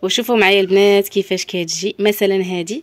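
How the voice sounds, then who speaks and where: A woman with a Moroccan accent, animated in tone, at a moderate pace. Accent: Moroccan Darija with French loanwords. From Morocco. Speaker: shop owner presenting products; shop seller showing products. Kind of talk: product showcase sales pitch. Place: shop. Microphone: phone near.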